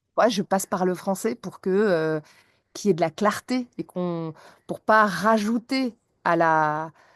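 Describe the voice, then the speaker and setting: In a dry, close sound with no echo and a quiet background, a woman speaks at a very slow pace with a medium pitch and ordinary pitch variation. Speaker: English teacher. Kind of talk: podcast interview.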